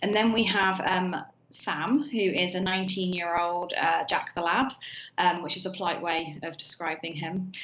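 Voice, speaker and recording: A woman with a British accent talks at a moderate pace, with room echo audible. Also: medium pitch for a woman, ordinary pitch variation. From southern England, Hampshire. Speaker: novelist. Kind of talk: interview. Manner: halting, many fillers.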